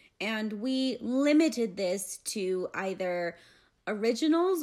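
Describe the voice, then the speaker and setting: In a medium pitch, a woman talks in an animated tone with lively intonation. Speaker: podcast host. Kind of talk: casual banter podcast. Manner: animated, jokey.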